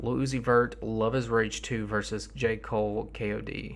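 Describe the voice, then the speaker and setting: A man speaks in a tired tone amid audible room echo. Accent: Southern US. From US South. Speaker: rap music streamer. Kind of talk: livestream commentary. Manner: tired, low-energy.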